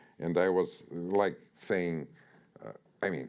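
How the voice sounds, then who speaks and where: A man is speaking. He has a Russian accent. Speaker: author. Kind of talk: author talk interview. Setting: stage with audience. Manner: halting, many fillers and repetitions.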